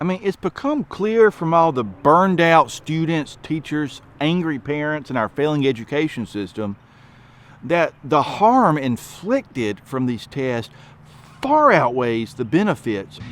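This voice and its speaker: In a strong Southern accent, a man speaks fairly slowly at a fairly high pitch, his voice swinging very widely. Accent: thick Southern. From US South, rural. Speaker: education advocate. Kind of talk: commentary monologue.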